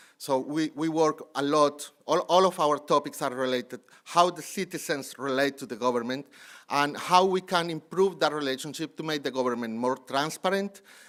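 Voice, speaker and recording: A man with a fairly high pitch and ordinary pitch variation is heard in a very clean recording with a silent background. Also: moderate pace. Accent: Colombian. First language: Spanish. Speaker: city anti-corruption official. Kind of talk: conference panel presentation. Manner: halting.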